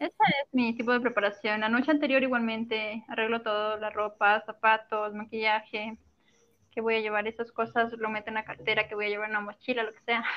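Her fairly high-pitched voice stays monotone and flat while the loudness swings widely, marking this woman's delivery. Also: fairly quick pace. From Ecuador, coastal Manabí province. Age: 20s. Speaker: model. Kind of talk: interview. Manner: soft-spoken.

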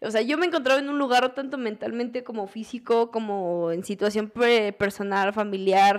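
A woman with a Mexican accent speaks at a moderate pace in a fairly high pitch. Her pitch varies in an ordinary way, and the recording is very clean with a silent background. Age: 20s. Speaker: DJ and music producer. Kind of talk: casual chat.

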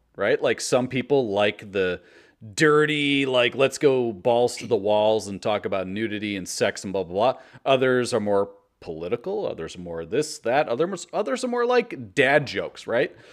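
"An unremarkable speaking voice" moves at a moderate pace with lively intonation and big swings in loudness. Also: man, medium pitch for a man. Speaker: podcast host. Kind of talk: casual chat. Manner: excitable.

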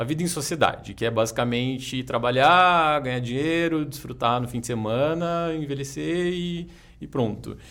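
Speaking at a moderate pace with lively intonation, a man is heard with audible room echo. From Jacareí, interior of São Paulo state, Brazil. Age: 30s. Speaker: yoga teacher and martial artist. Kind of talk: casual interview.

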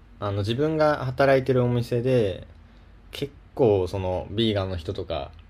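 Here a man speaks at medium pitch, somewhat breathy and fairly slow. His pitch swings very widely. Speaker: podcast co-host. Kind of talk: casual chat.

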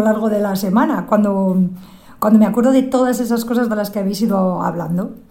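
In a room with audible echo and noticeable background noise, a woman speaks very fast at a fairly high pitch. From Zamora area, Spain. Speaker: listener contributor. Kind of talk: recorded personal message.

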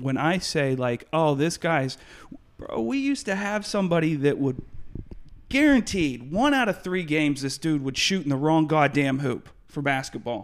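Speaking at a moderate pace, a man uses an ordinary speaking voice with a fairly high pitch and ordinary pitch variation. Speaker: podcast host. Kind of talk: casual interview chat.

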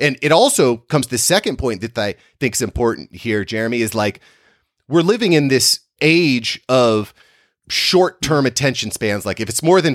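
An unremarkable speaking voice from a man, medium in pitch, with lively intonation at a moderate pace, dry and close with no echo. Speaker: podcast producer and branding guest. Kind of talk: casual interview chat. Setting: video call.

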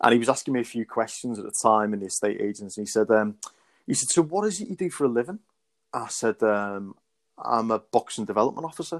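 The sound is dry and close, with no echo. A man talks very fast at a medium pitch with lively intonation. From Wirral, Merseyside, England. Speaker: boxing development officer, former amateur boxer. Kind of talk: casual interview chat. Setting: remote call.

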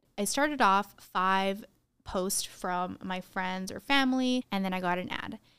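A woman with an American accent talks at a moderate pace with ordinary pitch variation in a plain, everyday voice. The recording is very clean, with a silent background. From Arizona, US. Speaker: podcast co-host. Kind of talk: casual chat.

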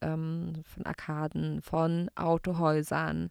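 The sound is dry and close, with no echo. A woman talks in a fairly low register. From Baden-Württemberg, Gaggenau. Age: 30s. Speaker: radio host. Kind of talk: casual chat.

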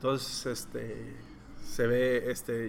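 A man at a medium pitch, amid noticeable background noise and audible room echo. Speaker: comic book artist. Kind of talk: interview.

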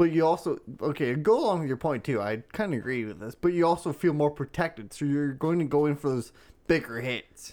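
With an unremarkable speaking voice, a man talks at a fairly high pitch and a fairly quick pace, with lively intonation. The recording is very clean, with a silent background. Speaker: podcast co-host. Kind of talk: casual banter, crude comedy chat.

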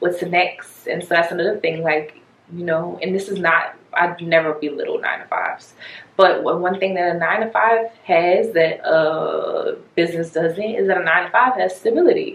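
Noticeable background noise accompanies a woman talking at a moderate tempo. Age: 20s. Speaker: business owner. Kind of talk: casual chat.

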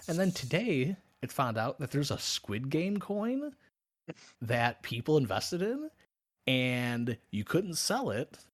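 Pitch swings very widely in this man's speech. He talks at a fairly slow pace. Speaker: podcast host. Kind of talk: casual banter, comedic chat. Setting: live-streamed podcast with chat. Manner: joking, crude.

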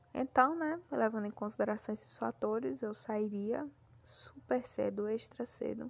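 The speaker moves at a fairly slow pace. Pitch rises and falls over a very wide range. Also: woman, fairly high pitch for a woman. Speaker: podcast host. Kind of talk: casual solo monologue.

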